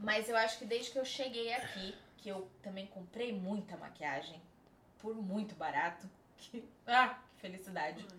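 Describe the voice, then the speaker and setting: A woman at a medium pitch and moderate pace, with big swings in loudness and audible room echo. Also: ordinary pitch variation. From São Paulo, Brazil. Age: 20s. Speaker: makeup artist. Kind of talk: casual chat.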